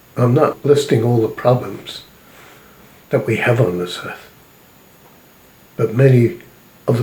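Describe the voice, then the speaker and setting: In a solemn tone with fairly even intonation, a man speaks over noticeable background noise. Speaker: self-described spiritual prophet and messenger. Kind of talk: spiritual sermon or message to camera. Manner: slow, measured, solemn.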